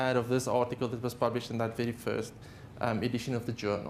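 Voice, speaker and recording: A man speaks with a South African accent. Audible room echo surrounds his voice. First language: Afrikaans. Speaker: haematologist. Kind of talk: lecture. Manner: halting.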